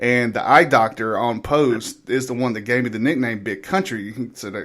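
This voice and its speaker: A man talks with an American accent. His pitch is medium, with ordinary pitch variation. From US South. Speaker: radio show host, army veteran. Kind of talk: casual chat.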